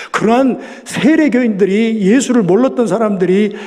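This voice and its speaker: A man's high voice, ordinary in its pitch movement. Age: 60s. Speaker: pastor. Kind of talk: sermon. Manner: loud.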